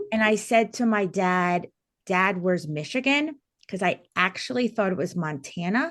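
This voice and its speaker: An energetic woman in a New Jersey accent, with lively intonation at a moderate pace over a quiet background. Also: medium pitch for a woman. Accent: New Jersey American. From New Jersey, US. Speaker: teacher and wellness coach. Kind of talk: podcast interview. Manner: loud.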